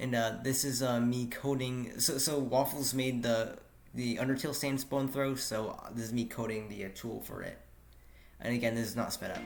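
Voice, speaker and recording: Audible room echo surrounds a man's voice. He speaks at a medium pitch with monotone, flat intonation. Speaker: game developer and video creator. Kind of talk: casual devlog narration over footage. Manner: hesitant, many fillers; fast.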